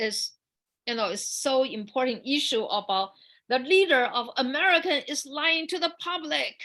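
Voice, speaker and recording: A woman with a Chinese accent projects a raised, high-pitched voice with a bright, sharp tone. Her intonation is lively, and the background is quiet. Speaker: dancer and performer. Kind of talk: panel forum, personal storytelling. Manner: halting, many repetitions and fillers.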